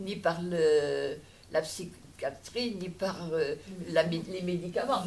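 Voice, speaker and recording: A woman speaks at a medium pitch with lively intonation, and room echo is audible. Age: 80s+. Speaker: audience member. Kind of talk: Q&A discussion. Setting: public lecture hall with audience.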